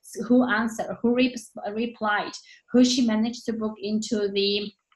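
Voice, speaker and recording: A woman with a non-native accent and a fairly high pitch speaks at a fairly slow pace. Her voice is somewhat breathy, with fairly even intonation. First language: not English. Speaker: network marketing team leader. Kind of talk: motivational team training talk.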